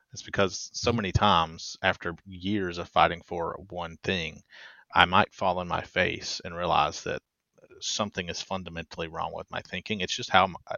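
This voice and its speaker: A man speaks in a very deep, low pitch with monotone, flat intonation at a moderate pace. His loudness swings widely. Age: 30s. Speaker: podcast host. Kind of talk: interview.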